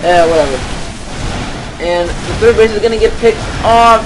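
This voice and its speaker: Noticeable background noise under a man's moderate-paced speech. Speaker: amateur esports caster. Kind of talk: live game commentary. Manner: stuttering; halting, hesitant.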